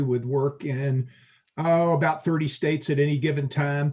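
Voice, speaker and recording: A somewhat breathy man talks at a moderate pace. His fairly high voice keeps a fairly even intonation. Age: 60s. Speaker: architect. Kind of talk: self-introduction at networking meeting. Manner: hesitant, frequent uh.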